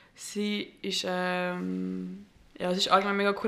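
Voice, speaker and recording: Bright and sharp in tone, a woman speaks at a very slow pace with monotone, flat intonation. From Switzerland, Gambian family. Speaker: podcast host. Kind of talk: casual interview. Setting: studio.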